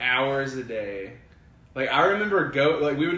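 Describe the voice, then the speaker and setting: Here a man with a Southern US accent speaks at medium pitch and a moderate pace. Audible room echo and noticeable background noise surround him. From US South, Alabama. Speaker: kendama player. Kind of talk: casual interview chat. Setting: in person at a kendama event.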